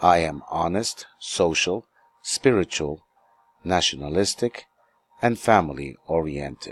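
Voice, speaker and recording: Lively in intonation yet fairly slow, a man with an American accent speaks in a very deep, low voice with vocal fry, leaving long, frequent pauses in a dry, close sound with no echo. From New York City, US. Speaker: English teacher. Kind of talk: self-introduction lesson.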